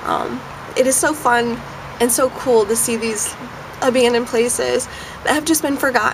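Noticeable background noise runs under this recording. A woman speaks at a moderate pace with fairly even intonation. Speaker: urban explorer vlogger. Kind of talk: casual vlog chat. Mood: friendly, smiling. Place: street. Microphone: phone near.

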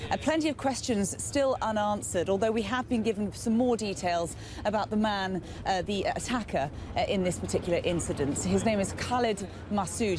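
A woman talks at a fairly quick pace in a dry sound with no echo. Noticeable background noise can be heard. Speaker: news presenter. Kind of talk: live news report. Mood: serious, measured. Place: street.

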